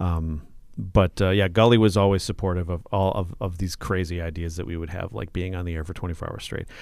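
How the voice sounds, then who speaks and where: The speech moves at a fairly quick pace with ordinary pitch variation, in a very clean recording with a silent background. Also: man, very deep, low pitch for a man. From southern Minnesota (Mankato). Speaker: radio host. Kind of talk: casual chat. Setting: radio station studio.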